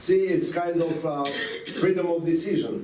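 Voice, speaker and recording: There is noticeable background noise in this clip. A man talks, and audible room echo follows his voice. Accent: non-native. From Latvia (Riga), Soviet Union. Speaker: rabbi, former refusenik. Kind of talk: talk to students, personal story. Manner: halting.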